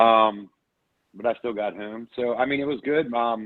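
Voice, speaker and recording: The man's voice sits at a medium pitch. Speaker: franchise owner. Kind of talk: business meeting update. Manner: loud; intense, to the point.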